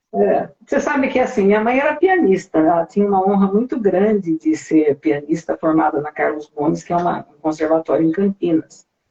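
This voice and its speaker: With hardly any pauses, a woman speaks in very wide pitch swings. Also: medium pitch for a woman, moderate pace. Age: 60s. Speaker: singer. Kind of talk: interview.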